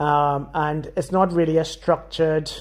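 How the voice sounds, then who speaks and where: This man's voice sits at a fairly high pitch. His intonation is monotone and flat. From Trinidad and Tobago. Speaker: consultant surgeon. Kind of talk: podcast panel discussion.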